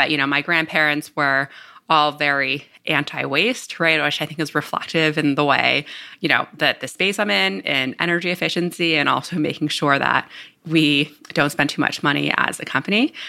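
A woman's very deep, low-pitched voice with a Northeastern US accent, bright, sharp tone, vocal fry, ordinary pitch variation and a moderate pace. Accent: American, Northeast. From New Jersey. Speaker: startup CEO. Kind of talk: interview.

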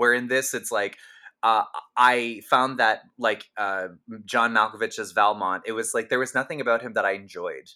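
A man's bright, sharp voice on a very clean recording with a silent background. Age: 30s. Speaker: podcast host and comedian. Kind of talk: casual chat.

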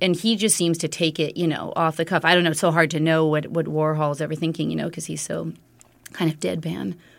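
A woman with an American accent speaks at a very fast pace and a very deep, low pitch, with vocal fry and fairly even intonation, on a very clean recording with a silent background. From New York City. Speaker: memoirist and yoga teacher. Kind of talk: interview.

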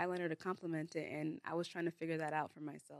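An ordinary speaking voice from a woman with an American accent, fairly low in pitch with fairly even intonation, in a dry, close sound with no echo. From US Bay Area; Nigerian heritage. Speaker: content creator and business owner. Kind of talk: casual interview chat. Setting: studio.

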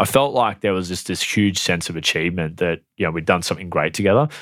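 A man with an Australian accent is captured on a very clean recording, the background silent. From Australia (New South Wales, then Queensland). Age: 30s. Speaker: real estate agency owner. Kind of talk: interview. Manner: hesitant, many fillers.

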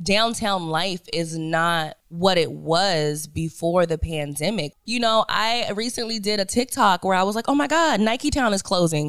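Using a normal speaking voice, a woman speaks at a fairly slow pace with hardly any pauses, her medium pitch carried by lively intonation on a very clean recording with a silent background. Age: 30s. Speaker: radio host. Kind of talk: casual chat.

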